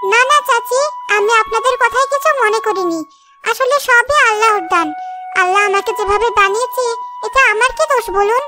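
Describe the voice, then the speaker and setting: A woman does a cartoonish character voice at an extremely high pitch, moving at a moderate pace with ordinary pitch variation while loud music plays in the background. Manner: soft, polite.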